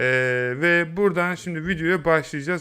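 Ordinary pitch variation marks a man whose voice sits fairly high. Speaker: YouTube tutorial creator. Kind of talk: tutorial. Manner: casual, hesitant fillers.

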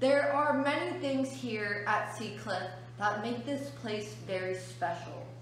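A woman talks at a fairly slow pace. The room echo is audible, and light background noise sits underneath. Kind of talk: educational talk to children. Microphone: phone near.

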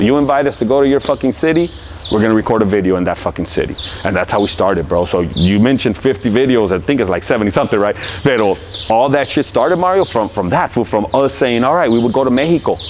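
A man with an American accent at a very fast pace, loudness very even, with light background noise behind him. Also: lively intonation. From Los Angeles, California. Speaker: rapper. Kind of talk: interview answer. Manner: casual, profane, animated. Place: street.

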